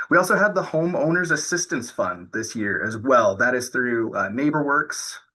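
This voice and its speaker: Background noise is clearly audible. Over it, a man talks with lively intonation. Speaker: nonprofit home buyer educator. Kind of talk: presentation to online audience. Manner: many filler ums.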